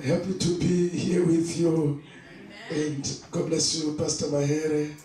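A man's monotone, flat delivery at a fairly slow pace, with audible room echo and light background noise. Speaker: preacher. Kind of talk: sermon. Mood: warm, lightly amused. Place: church.

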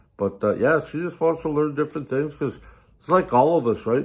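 A man's lively intonation comes through clearly over a quiet background. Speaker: vlogger. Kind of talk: casual vlog chat. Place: home room. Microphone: phone near.

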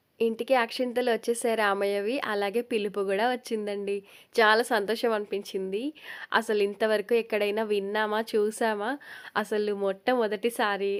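A woman speaks in a flat monotone at a fairly high pitch, recorded very cleanly against a silent background. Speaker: cooking and lifestyle vlogger. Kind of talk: vlog narration.

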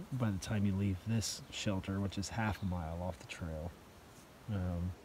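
Fairly low in pitch, a man speaks with ordinary pitch variation and a somewhat breathy voice. The sound is dry with no echo, with light background noise. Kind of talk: casual vlog chat. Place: tent. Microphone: phone near.

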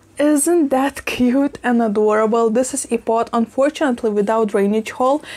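A woman's high voice comes through at a moderate pace. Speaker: plant vlogger. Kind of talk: casual vlog chat. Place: kitchen. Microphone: lapel.

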